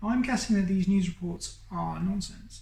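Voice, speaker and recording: A woman with a British accent speaks at a fairly slow pace, her pitch varying in an ordinary way. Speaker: YouTuber. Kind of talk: personal coming-out monologue. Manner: hesitant, with fillers.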